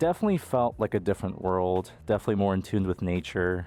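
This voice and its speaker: With an American accent, a man speaks at a fairly low pitch and a fairly quick pace. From US, Colombian immigrant family. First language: Spanish. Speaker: YouTuber. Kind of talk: casual personal storytelling.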